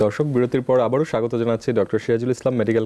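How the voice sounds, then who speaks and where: Fairly even in intonation, a man speaks at a medium pitch with a dark, mellow tone. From Bangladesh. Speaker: TV presenter. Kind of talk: live TV hosting. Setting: TV studio. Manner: formal. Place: studio.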